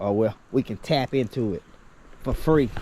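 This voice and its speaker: Noticeable background noise sits behind a man speaking with a Southern US accent. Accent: Southern US rural. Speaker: homesteader. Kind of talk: vlog walk-and-talk. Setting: outdoors. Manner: mumbling; halting.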